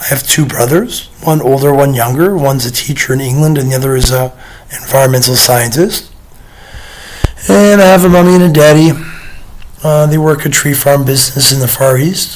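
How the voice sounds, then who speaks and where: Amid noticeable background noise and audible room echo, a man with a fairly high pitch speaks at a moderate pace, with ordinary pitch variation and long, frequent pauses. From United Kingdom. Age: 30s. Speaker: vlogger. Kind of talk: casual monologue to camera. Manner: hesitant, many fillers.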